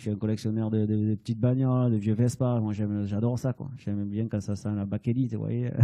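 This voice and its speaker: A man speaks at a fairly low pitch and a fairly quick pace, with hardly any pauses. His intonation is flat and monotone, and his tone is dark and mellow. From southern France, Hérault (Sète area). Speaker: painter. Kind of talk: interview. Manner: halting, many fillers.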